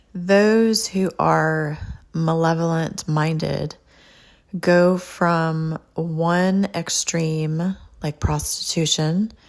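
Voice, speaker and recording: Very slowly and with fairly even intonation, a woman talks in a Californian accent. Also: fairly low pitch for a woman. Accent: Californian with a twang. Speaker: podcast host and author. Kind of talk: podcast monologue. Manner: laid-back.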